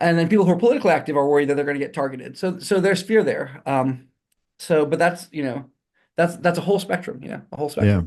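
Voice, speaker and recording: Speaking at a very fast pace, a man with a high pitch talks with an American accent. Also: lively intonation. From Texas, Houston. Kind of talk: interview. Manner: halting.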